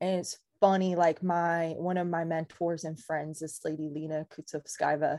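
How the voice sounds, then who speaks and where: A woman with a Californian accent, fairly low-pitched, with a dark, mellow tone, speaking at a fairly slow pace on a very clean recording with a silent background. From Southern California, Ventura County. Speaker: real estate agent. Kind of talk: casual chat.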